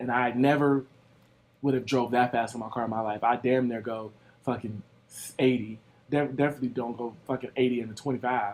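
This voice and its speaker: A man with an American accent talks at a fairly quick pace, his pitch medium. His intonation is monotone and flat, broken by long, frequent pauses. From Ohio, USA. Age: 20s. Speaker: vlogger. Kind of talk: casual story time talk to camera.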